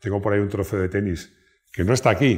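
A man with a somewhat breathy voice speaks with ordinary pitch variation against a quiet background. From Spain. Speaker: YouTube car channel host. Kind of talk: casual personal talk to camera. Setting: at home. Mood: warm, proud, nostalgic. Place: home room. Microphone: lapel.

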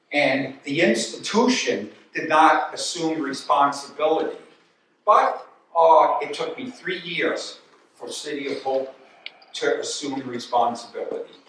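Speaking at a fairly slow pace with an American accent, a man shows big swings in loudness amid light background noise and audible room echo. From Albany, New York; New York. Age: old. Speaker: retired physiology professor and former runner; guest lecturer. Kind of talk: lecture. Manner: halting. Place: hall. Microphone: camera far.

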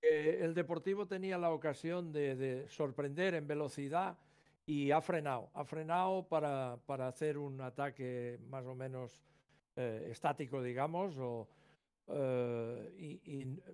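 A man talks at a very slow pace. His pitch is fairly high, with ordinary variation. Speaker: football analyst, former coach. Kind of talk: co-commentary analysis. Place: home room. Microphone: video call.

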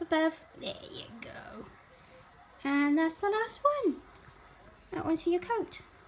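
A woman with a Welsh accent, extremely high in pitch and fairly slow in pace. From Wales. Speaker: cat owner. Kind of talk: talking to a pet. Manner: affectionate, coaxing. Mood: affectionate, playful. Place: home room. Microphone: phone near.

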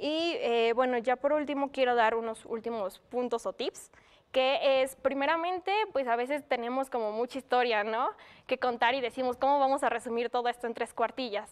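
Ordinary pitch variation at a moderate pace in a woman's high voice. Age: 20s. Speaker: former award winner, university student; presenter. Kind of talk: talk giving tips on writing an autobiography. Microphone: webcam.

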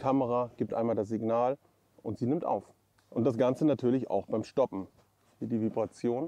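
A man talks at a moderate pace in a dark, mellow tone. The sound is dry with no echo. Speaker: gear reviewer. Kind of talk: casual review vlog talk. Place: open country. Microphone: lapel.

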